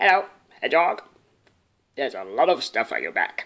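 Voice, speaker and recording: A man puts on a croaky character voice. He talks at a fairly quick pace. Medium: read story.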